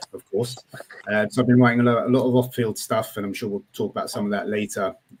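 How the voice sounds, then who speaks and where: With a British accent and a medium pitch, a man speaks at a very fast pace with fairly even intonation. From Britain. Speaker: college football writer. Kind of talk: casual podcast chat.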